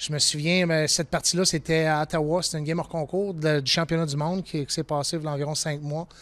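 Speaking at a very fast pace, a man with a fairly high pitch keeps a monotone, flat intonation. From Quebec, Beauport; Quebec. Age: 40s. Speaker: ice hockey referee; coach. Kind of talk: interview.

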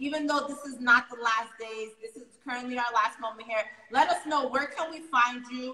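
The tone is animated as well as bright and sharp, at a moderate pace. There is audible room echo, but the background is quiet. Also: woman, high pitch for a woman, big swings in loudness. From New York City, Harlem; New York City. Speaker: online talk show host; livestream show host. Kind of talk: casual interview; casual interview hosting chat. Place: home room. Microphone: phone near.

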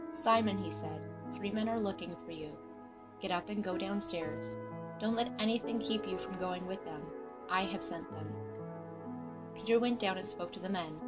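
Over music in the background, a woman speaks at a moderate pace with long, frequent pauses. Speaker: scripture narrator. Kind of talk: scripture reading.

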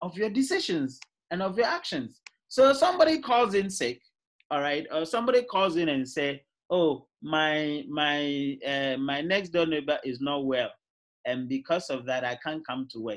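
Against a quiet background, a man speaks at a moderate pace with very wide pitch swings. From Ghana. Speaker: university lecturer. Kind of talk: lecture. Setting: video call. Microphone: video call.

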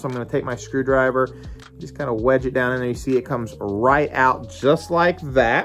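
A man talks at a moderate pace while faint music plays in the background. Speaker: fishing channel host. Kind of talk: tutorial. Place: garage. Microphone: phone near.

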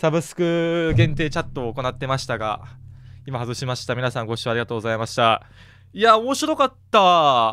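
On a very clean recording with a silent background, a man talks at a fairly quick pace in a bright, sharp, animated tone, with very wide pitch swings. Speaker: gaming streamer. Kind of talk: casual chat during a murder mystery game. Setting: livestream recording. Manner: animated, laughs often.

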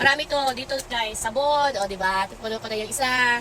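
A woman speaks in a raised, projected voice with ordinary pitch variation. Noticeable noise sits in the background. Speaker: store worker and vlogger. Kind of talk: casual vlog while working. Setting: grocery store.

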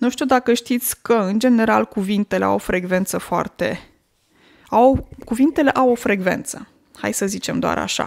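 This is a plain, everyday voice at a moderate pace. Its pitch variation is ordinary. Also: woman, fairly high pitch for a woman. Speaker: language teacher podcaster. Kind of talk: casual monologue.

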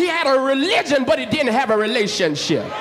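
Against noticeable background noise, a man talks at a moderate pace in an extremely high voice with very wide pitch swings. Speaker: pastor. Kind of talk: church sermon. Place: church. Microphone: handheld.

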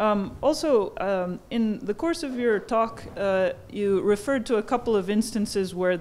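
A woman is speaking at a fairly slow pace. Her pitch varies in an ordinary way. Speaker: historian. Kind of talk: audience Q&A. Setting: stage with audience. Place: hall.

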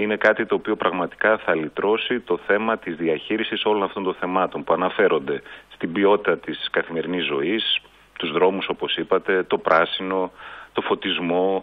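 An unremarkable speaking voice at a moderate pace, with fairly even intonation. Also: man, fairly low pitch for a man. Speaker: guest. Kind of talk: interview answer.

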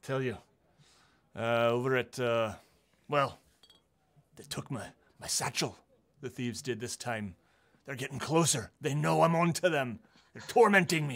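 Using a put-on character voice at medium pitch, a man speaks at a moderate pace with long, frequent pauses. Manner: paranoid, rambling.

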